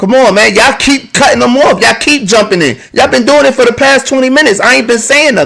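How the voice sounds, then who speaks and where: Extremely high in pitch, a man speaks at a fairly quick pace with ordinary pitch variation. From New Jersey, Plainfield. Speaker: live stream podcast host. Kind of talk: heated debate. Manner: loud.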